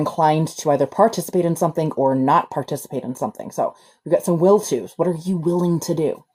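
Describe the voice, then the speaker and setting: The woman's voice is very deep and low, with a dark, mellow tone. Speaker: livestream energy healer. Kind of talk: live stream reading of chat with energy work. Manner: casual, swears.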